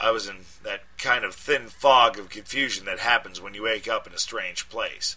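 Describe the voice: The passage is read aloud plainly.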